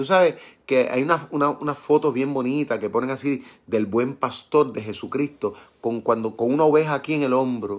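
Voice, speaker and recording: At a moderate pace and a medium pitch, a man talks with ordinary pitch variation in a plain, everyday voice, in a very clean recording with a silent background. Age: 50s. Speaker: pastor. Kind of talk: Bible study sermon. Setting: live stream.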